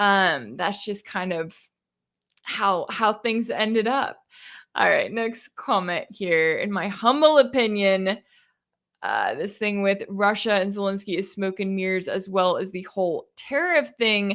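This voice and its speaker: Recorded very cleanly with a silent background, a woman with a slight Texas accent speaks at a fairly slow pace, medium pitch and ordinary pitch variation. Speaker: independent news commentator. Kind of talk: live-stream Q&A. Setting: live stream from home. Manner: casual, conversational.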